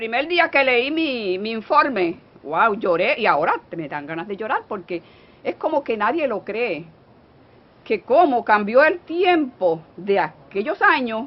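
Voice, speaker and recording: At a fairly slow pace, a woman with a fairly high voice swings her pitch very widely over noticeable background noise. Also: big swings in loudness. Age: 70s. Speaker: elderly workshop participant. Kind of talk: emotional testimony.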